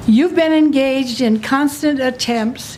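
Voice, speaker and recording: There is noticeable background noise as a woman talks at a very slow pace. Her voice is high-pitched, with lively intonation. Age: 80s+. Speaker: resident testifying at public hearing. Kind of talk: public hearing testimony. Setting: public meeting with audience. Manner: reading from written notes.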